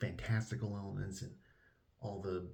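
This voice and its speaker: With audible room echo, a man speaks in a fairly low, somewhat breathy voice with ordinary pitch variation. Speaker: book reviewer. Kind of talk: casual vlog-style book review. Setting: at a relative's house, indoors. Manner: quiet, trying not to wake others; animated, enthusiastic.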